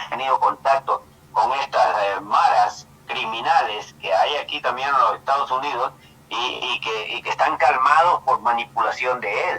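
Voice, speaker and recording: Noticeable background noise sits behind a man speaking fairly slowly. His pitch swings very widely. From El Salvador. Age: 70s. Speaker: caller. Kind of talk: political commentary call-in. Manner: halting.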